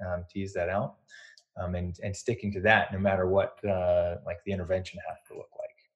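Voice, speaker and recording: A man's voice comes through somewhat breathy. He keeps a moderate pace. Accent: American. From North Carolina. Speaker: podcast host, physical therapist and business coach. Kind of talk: interview.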